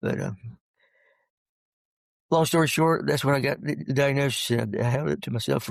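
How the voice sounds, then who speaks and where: Talking at a fairly quick pace, a man sounds somewhat breathy, his intonation lively. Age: 60s. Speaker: retired pastor. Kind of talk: interview. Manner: halting, with stutters and repeats; fast speech.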